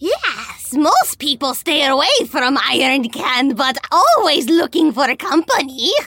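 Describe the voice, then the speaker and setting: Using a put-on character voice, a woman speaks high and at a fairly slow pace, with hardly any pauses. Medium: actual play. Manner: broken third-person speech; odd, food-obsessed.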